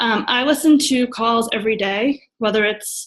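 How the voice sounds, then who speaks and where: A woman talks in a plain, everyday voice. Her pitch is fairly high and her intonation fairly even. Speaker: network marketing coach. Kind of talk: sharing tips on a group call.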